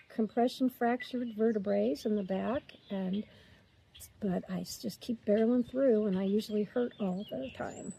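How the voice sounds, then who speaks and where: A woman's fairly high, somewhat breathy voice with a dark, mellow tone, ordinary pitch variation and a moderate pace. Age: 60s. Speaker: retiree vlogger. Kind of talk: casual chat. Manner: talkative.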